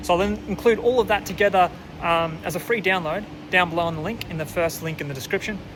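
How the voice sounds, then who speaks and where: Very fast and high-pitched, a man talks with an Australian accent and ordinary pitch variation. Noticeable background noise runs underneath. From Australia, near Melbourne. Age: 20s. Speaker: bikepacking vlogger. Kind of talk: casual vlog intro and promo. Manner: relaxed, hesitant with fillers.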